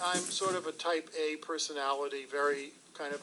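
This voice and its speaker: Here is a man with a fairly high pitch. His intonation stays fairly even. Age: 60s. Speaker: former government official. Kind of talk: interview. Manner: loud.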